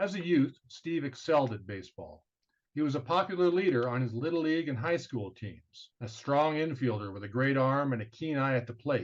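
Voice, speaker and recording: Speaking in a plain, everyday voice with an American accent, a man moves at a fairly quick pace, his fairly high pitch carried by lively intonation. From Southern California. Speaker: podcast host. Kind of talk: scripted introduction; interview.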